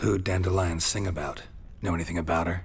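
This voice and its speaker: A put-on character voice races along at a very fast pace. Clear background noise is present. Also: man, very deep, low pitch for a man. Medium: video game. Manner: terse, dry.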